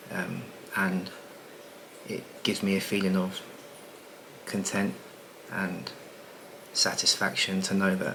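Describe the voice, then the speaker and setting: With noticeable background noise behind him, a man speaks at a fairly slow pace in a very deep, low pitch. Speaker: property business coach and content creator. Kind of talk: casual vlog monologue. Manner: talking quietly; relaxed, many filler words.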